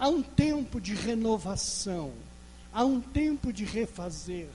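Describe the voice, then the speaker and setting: High-pitched man with lively intonation at a very slow pace, amid noticeable background noise. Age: 60s. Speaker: pastor. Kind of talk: sermon.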